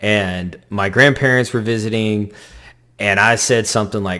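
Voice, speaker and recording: Speech comes at a moderate speed in a normal speaking voice, its pitch varying in an ordinary way. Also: man. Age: 40s. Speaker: convert telling faith story. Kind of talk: testimony.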